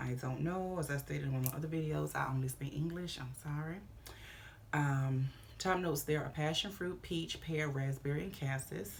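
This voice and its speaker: This woman's voice is very deep and low, and somewhat breathy. She talks at a moderate pace with ordinary pitch variation. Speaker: fragrance reviewer. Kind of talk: product review video. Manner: casual.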